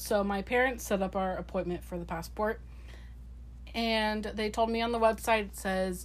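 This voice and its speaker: A woman's voice with audible room echo. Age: 20s. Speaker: podcast co-host. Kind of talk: casual chat.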